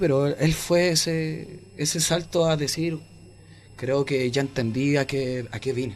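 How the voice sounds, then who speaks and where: The voice is somewhat breathy, with a Chilean accent. Its pitch variation is ordinary. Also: man. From Chile, Santiago (Renca). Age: 20s. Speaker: rapper. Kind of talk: interview. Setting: studio.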